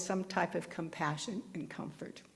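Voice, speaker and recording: A woman's fairly low pitch with vocal fry and ordinary pitch variation, at a moderate pace amid audible room echo. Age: old. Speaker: minister's assistant giving a dharma talk. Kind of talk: dharma talk. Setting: temple service with congregation. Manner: conversational, some halting restarts.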